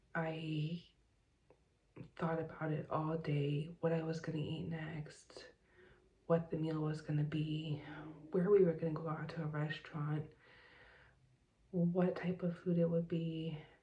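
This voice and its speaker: Soft-spoken and monotone, a woman with an American accent talks at a fairly slow pace with long, frequent pauses. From Southern California. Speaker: vlogger. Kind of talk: personal vlog. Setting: home at night. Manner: hesitant with fillers.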